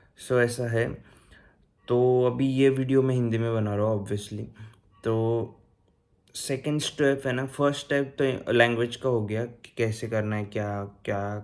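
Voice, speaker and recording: A Marathi accent with fairly even intonation, on a very clean recording with a silent background. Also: man, medium pitch for a man. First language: Marathi (speaking Hindi). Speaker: YouTuber giving advice on vocational training in Germany. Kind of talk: casual vlog tutorial. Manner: casual, hesitant with fillers.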